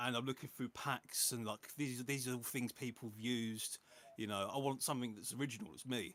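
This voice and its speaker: In a plain, everyday voice, a man speaks at a fairly quick pace with medium pitch and ordinary pitch variation. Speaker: music producer. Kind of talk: casual chat.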